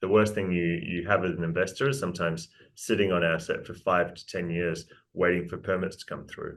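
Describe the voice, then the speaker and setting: Speaking with a New Zealand accent, a man has a very deep, low pitch and fairly even intonation. He moves at a fairly quick pace, with big swings in loudness. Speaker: mining company executive. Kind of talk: interview presentation.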